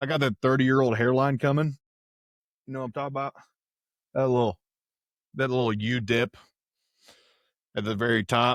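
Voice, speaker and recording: Dry and close with no echo, a man talks at a fairly quick pace with an American accent and a medium pitch. His intonation is fairly even, and he leaves long, frequent pauses. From Texas. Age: 20s. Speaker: podcaster. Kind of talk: casual monologue. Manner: casual, rambling slang.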